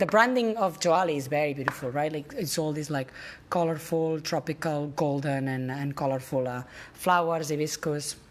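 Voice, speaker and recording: A woman with a very deep, low pitch speaks at a moderate pace with ordinary pitch variation. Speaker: travel vlogger. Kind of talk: casual room-tour walkthrough. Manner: animated; loud.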